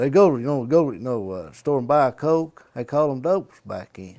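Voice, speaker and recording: A man with an Appalachian accent, dark and mellow in tone, lively in intonation, at a fairly quick pace. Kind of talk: interview answer.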